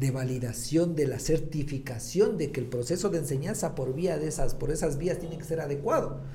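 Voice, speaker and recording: Audible room echo surrounds the recording. A man talks with a fairly high pitch. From Ecuador, Latacunga. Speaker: gynecologist and clinic owner. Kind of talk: podcast interview.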